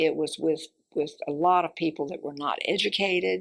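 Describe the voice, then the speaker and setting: With a Southern US accent, a woman talks at a fairly slow pace. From Central Florida. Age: 80s+. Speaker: oral history interviewee. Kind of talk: oral history interview. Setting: library. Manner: halting.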